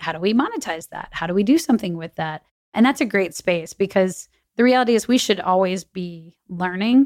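Here a woman with an American accent has an unremarkable speaking voice at medium pitch, with lively intonation. She talks at a fairly quick pace, and the sound is dry and close with no echo. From Texas. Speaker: marketing executive. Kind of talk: interview.

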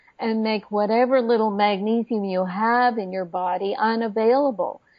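Delivered with fairly even intonation, it is an unremarkable speaking voice. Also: woman. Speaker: medical doctor and naturopath. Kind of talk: interview.

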